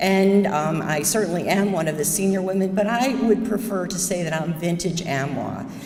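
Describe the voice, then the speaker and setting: Against noticeable background noise and audible room echo, a woman with an American accent talks at a moderate pace, medium pitch and ordinary pitch variation. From upstate New York, US. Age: 70s. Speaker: surgeon. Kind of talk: talk to audience.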